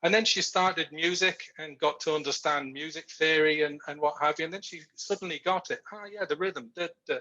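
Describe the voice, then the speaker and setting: A man speaks at a fairly quick pace with hardly any pauses, his pitch fairly high and his tone bright and sharp. His intonation stays fairly even while his loudness swings widely. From Yorkshire, northern England. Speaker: research manager. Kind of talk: interview on a video call.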